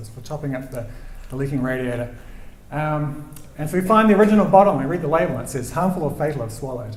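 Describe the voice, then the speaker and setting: Very fast and fairly high-pitched, a man talks with a New Zealand accent and ordinary pitch variation. There is noticeable background noise and audible room echo. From New Zealand, Christchurch. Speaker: storyteller, rock climber. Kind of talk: live storytelling. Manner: soft-spoken; halting, repeats words.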